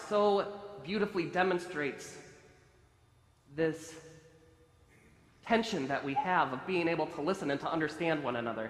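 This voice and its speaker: A man's high voice with ordinary pitch variation at a fairly quick pace, against noticeable background noise. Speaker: rabbi. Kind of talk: sermon. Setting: synagogue sanctuary.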